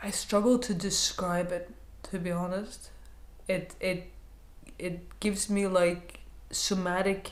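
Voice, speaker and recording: Amid audible room echo, a woman talks at a very slow pace with long, frequent pauses. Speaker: counselor sharing personal experience. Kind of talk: personal vlog monologue. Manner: hesitant, repeating words; lowered, quieter voice.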